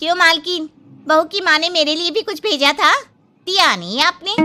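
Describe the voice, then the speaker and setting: Putting on a cartoonish character voice, a woman speaks at a fairly quick pace in an extremely high pitch. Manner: sassy.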